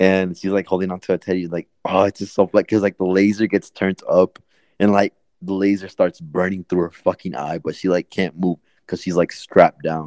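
A man with an American accent speaks in a very deep, low pitch at a fairly quick pace, with monotone, flat intonation. The sound is dry and close with no echo, over a quiet background. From Oklahoma, US. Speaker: podcast host. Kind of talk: casual chat. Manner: casual, filler-heavy.

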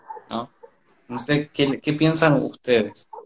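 A man talks at a moderate pace in an Argentine accent. His pitch is fairly high. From Argentina. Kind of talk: casual chat. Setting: live video stream.

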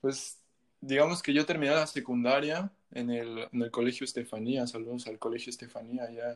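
Using a plain, everyday voice, a man at medium pitch talks at a moderate pace with fairly even intonation. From Mexico. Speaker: musician. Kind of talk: casual chat.

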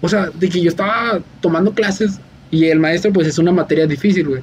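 A man's high-pitched voice at a very fast pace. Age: 20s. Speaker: podcast host. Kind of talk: casual chat. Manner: animated.

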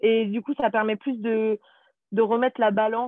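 Her fairly high voice holds a fairly even intonation as the woman talks. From France, Paris region. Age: 20s. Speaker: former au pair, nanny. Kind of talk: interview.

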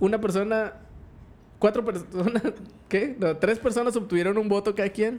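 Speaking at a moderate pace with a Mexican accent, the voice breaks into long, frequent pauses. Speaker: podcast co-host. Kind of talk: casual chat.

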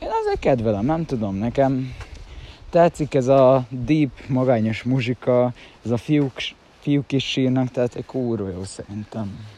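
Very slow delivery from a man at a medium pitch. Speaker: vlogger. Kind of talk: casual monologue. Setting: outdoors, walking to train at dawn. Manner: rambling, halting.

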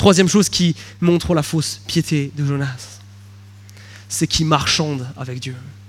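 With long, frequent pauses, a man speaks in a somewhat breathy, fairly high voice and lively intonation. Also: fairly slow pace. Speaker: pastor. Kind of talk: sermon.

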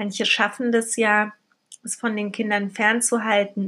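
This woman has a normal speaking voice, medium in pitch. She talks at a fairly slow pace with fairly even intonation. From Berlin, Germany. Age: 30s. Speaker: podcast host, single mother. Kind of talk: casual monologue.

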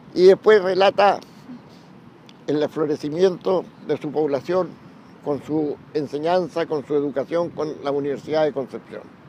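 Speaking at a fairly slow pace with long, frequent pauses, a man uses a fairly high pitch and ordinary pitch variation while noticeable background noise plays. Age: 80s+. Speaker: retired railway worker. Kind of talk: oral history testimony. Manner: halting, with repetitions.

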